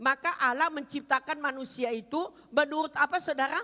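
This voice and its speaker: Animated woman with a high, bright, sharp tone and a raised, projected voice. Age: 70s. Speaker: pastor. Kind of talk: sermon.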